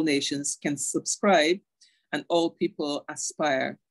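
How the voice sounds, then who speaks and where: A woman with a Barbadian accent and a very deep, low pitch, in dry, close sound with no echo. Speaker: internet governance and human rights advocate. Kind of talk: online lecture.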